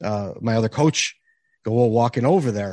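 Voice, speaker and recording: Speaking at a moderate pace with an American accent, a man with a medium pitch is heard in a dry, close sound with no echo against a quiet background. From Chicago area, US Midwest. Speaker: hockey podcaster and beer league goalie. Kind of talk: casual chat.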